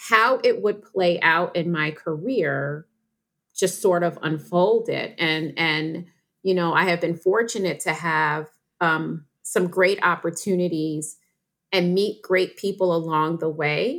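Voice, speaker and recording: On a very clean recording with a silent background, a woman with an American accent and a fairly low pitch speaks at a very slow pace with ordinary pitch variation. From New York. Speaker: nonprofit chief executive. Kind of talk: interview.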